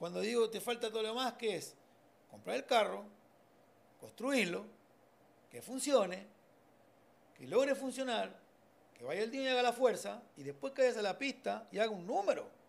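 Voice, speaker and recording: Speaking in an Argentine accent at a moderate pace, a man with a high pitch and ordinary pitch variation swings widely in loudness and takes long, frequent pauses. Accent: Argentine Spanish (voseo). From Argentina. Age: 40s. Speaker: mechanic and drag racing builder; podcast guest. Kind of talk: casual interview chat. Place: home room. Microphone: studio mic.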